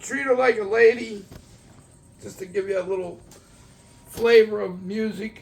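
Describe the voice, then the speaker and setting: A high-pitched man with a Philadelphia accent speaks at a moderate pace, with long, frequent pauses and big swings in loudness. Noticeable background noise runs behind him. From Philadelphia area, US (Morton, near Upper Darby). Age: 60s. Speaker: record collector. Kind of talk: casual show-and-tell video. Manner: animated.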